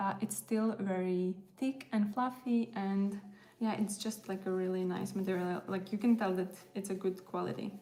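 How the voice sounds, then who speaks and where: With a Latvian accent, a woman speaks at a moderate pace and medium pitch, her intonation fairly even, against noticeable background noise. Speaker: crochet content creator. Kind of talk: casual livestream chat while crafting. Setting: live stream, music in background. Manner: casual, hesitant with fillers.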